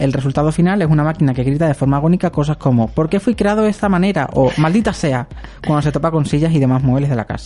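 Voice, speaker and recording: A man talking at a very fast pace, fairly high-pitched, with ordinary pitch variation and noticeable background noise. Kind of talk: scripted narration; casual chat.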